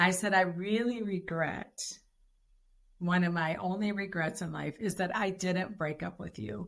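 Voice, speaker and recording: A woman talks at a fairly slow pace with vocal fry. Her pitch is fairly low, with ordinary variation. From Detroit, US Midwest. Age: 60s. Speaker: podcast guest, wife of a former pro football player. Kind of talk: interview, personal testimony.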